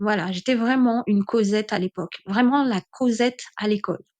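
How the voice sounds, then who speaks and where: In a dry, close sound with no echo and a quiet background, a woman with a fairly high voice talks at a moderate pace. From French overseas islands (Caribbean), born in mainland France. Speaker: podcaster. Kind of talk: personal testimony. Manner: hesitant with many fillers.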